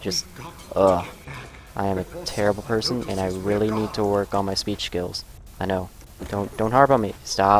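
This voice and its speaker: With noticeable background noise behind him, a man talks at a moderate pace with long, frequent pauses. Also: fairly low pitch for a man, fairly even intonation. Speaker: gaming streamer. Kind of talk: game commentary. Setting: live stream. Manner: halting.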